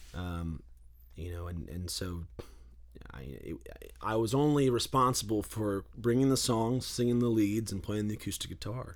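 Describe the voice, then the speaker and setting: Speaking at a moderate pace with lively intonation, a man with an American accent has a fairly low pitch. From Western North Carolina, Boone area. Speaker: singer-songwriter, guitarist. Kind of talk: interview, casual chat. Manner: halting, many fillers and repeats.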